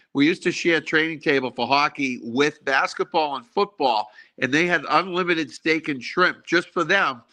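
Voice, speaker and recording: A man's bright, sharp tone at a moderate pace, with a Boston accent. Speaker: former college hockey player. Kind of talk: casual chat.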